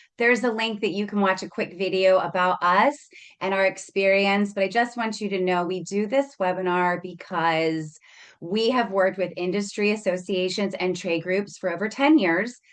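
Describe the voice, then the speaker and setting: Here is a woman with an ordinary speaking voice at medium pitch. She talks at a moderate pace with ordinary pitch variation. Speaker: marketing agency presenter. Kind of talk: webinar presentation. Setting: video call webinar with screen share.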